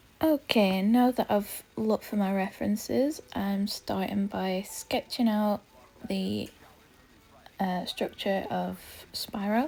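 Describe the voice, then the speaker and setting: Speaking very slowly in a British accent, a woman has a medium pitch, ordinary pitch variation and a dark, mellow tone. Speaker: artist and video creator. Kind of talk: casual talk-along drawing vlog. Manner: casual, filler words.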